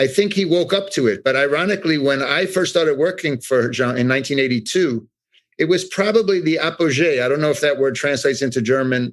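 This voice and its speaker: Speaking very fast in a New York accent, a man keeps his loudness very even at a fairly high pitch. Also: ordinary pitch variation. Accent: New York American. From New York City. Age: 60s. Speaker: art expert, former artist's assistant. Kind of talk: interview. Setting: podcast.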